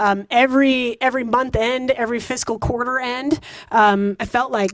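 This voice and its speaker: With an American accent, a woman talks using ordinary pitch variation. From Wisconsin, US Midwest. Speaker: engineering executive. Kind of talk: guest talk to students. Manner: fast; animated.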